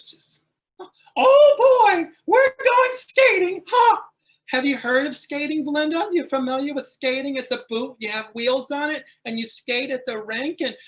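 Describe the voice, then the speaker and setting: This is a put-on character voice, high and squeaky. It moves at a moderate pace. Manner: upbeat, chatty.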